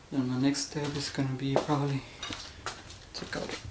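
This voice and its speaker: Over noticeable background noise and audible room echo, a man speaks at a moderate pace in a fairly high, monotone, flat voice. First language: not English. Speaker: amateur mechanic, DIY video maker. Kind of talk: tutorial. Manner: halting, self-correcting.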